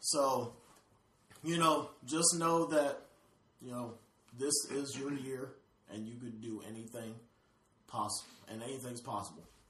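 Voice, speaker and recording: Amid noticeable background noise and audible room echo, a man speaks at medium pitch and a fairly slow pace, with ordinary pitch variation and long, frequent pauses. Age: 20s. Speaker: podcast co-host and photographer. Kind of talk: casual chat.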